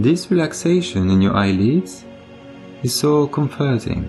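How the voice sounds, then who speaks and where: With music playing in the background, a man of medium pitch speaks in a calm, soothing tone at a fairly slow pace. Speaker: meditation guide. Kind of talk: guided meditation. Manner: calm, slow, soothing.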